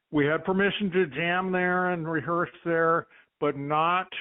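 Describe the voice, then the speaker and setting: A man with an American accent and a normal speaking voice, at a moderate pace with fairly even intonation. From Long Beach, California; teen years in New Mexico. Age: 60s. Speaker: bass player, musician. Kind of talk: casual interview chat.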